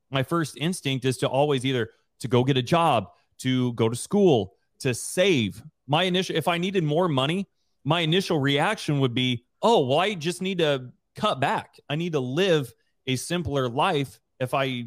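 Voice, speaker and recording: Fairly high in pitch, a man speaks in an animated tone with an American accent. His intonation is lively and his pace moderate. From US, southeast Idaho. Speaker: real estate investor and Air Force veteran. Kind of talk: interview.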